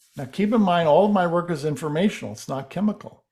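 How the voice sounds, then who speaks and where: With an ordinary speaking voice, a man talks at a fairly high pitch with lively intonation. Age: 60s. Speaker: alternative healing researcher. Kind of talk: interview.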